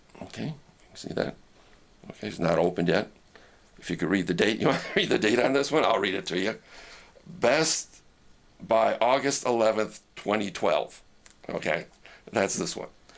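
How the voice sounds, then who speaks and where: A man speaks at a medium pitch and moderate pace, his pitch swinging very widely. Long, frequent pauses break up his speech, and background noise is noticeable. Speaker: ham radio operator and preacher. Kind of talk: casual talk to camera, teaching demonstration. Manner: conversational, explanatory.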